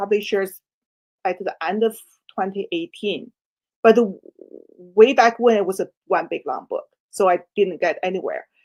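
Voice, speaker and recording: A woman with a Chinese accent, fairly high in pitch, with ordinary pitch variation. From China. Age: 60s. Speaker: author. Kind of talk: interview. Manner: halting.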